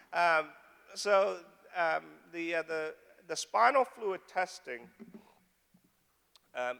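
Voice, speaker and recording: With long pauses coming often, a man speaks at a high pitch in a bright, sharp tone with lively intonation. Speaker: neurologist, clinical research director. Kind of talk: medical Q&A talk to audience. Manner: halting, many fillers; fast.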